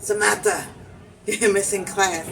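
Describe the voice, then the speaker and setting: Fairly slow speech with audible room echo amid noticeable background noise. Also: woman. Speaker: vlogger. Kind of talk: casual storytelling. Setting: cafe, then outdoors. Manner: loud.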